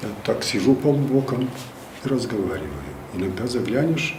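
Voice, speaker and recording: A man's medium-pitched voice with lively intonation at a moderate pace, broken by long, frequent pauses, over noticeable background noise. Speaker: first announcer of regional radio and television, former theater actor. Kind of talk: interview answer, storytelling from memory.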